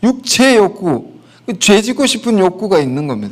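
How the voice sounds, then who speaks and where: Very wide pitch swings from a high-pitched male voice. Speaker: pastor. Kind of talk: sermon.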